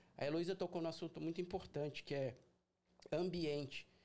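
With ordinary pitch variation, a man talks at a moderate speed in a high voice. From Brazil, São Paulo city. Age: 40s. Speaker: carpet and upholstery cleaning business owner. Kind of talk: casual interview. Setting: livestream.

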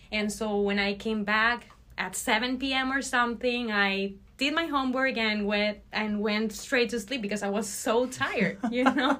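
In a Spanish accent, a woman talks at a moderate pace and fairly high pitch with ordinary pitch variation. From Venezuela, Barquisimeto. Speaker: ophthalmology research fellow. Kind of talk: interview.

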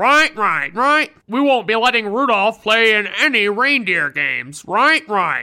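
A put-on character voice, fairly high in pitch and fairly slow in pace. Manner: authoritative, commanding.

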